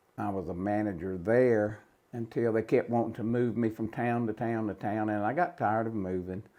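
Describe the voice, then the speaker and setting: Here a man speaks at a moderate pace with a North Carolina accent. His voice is fairly low, with a dark, mellow tone and ordinary pitch variation. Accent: Southern US, North Carolina. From North Carolina, Cabarrus County. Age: 70s. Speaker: retired home builder and tournament angler. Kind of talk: casual interview.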